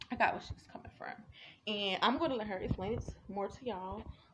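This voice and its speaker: The speech comes at a moderate pace. Background noise is noticeable. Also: woman. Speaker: vlogger. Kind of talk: casual vlog monologue. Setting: outdoors. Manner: rambling, filler-heavy.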